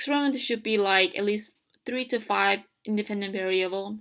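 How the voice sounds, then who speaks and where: Someone with a non-native accent speaks at a moderate pace on a very clean recording with a silent background. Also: woman. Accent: heavy non-native. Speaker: college student. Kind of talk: educational tutorial narration. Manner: hesitant, casual.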